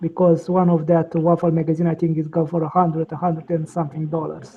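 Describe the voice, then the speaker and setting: Speaking with a strong Russian accent, a woman with a fairly low pitch is heard over noticeable background noise. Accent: heavy Russian. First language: non-native English speaker. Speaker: online chat participant. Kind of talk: casual chat.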